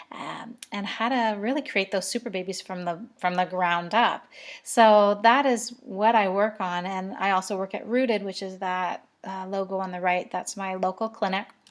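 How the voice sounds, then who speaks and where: Against a quiet background, a woman at a medium pitch talks with hardly any pauses. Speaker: naturopathic doctor. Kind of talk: educational talk. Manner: fast; animated.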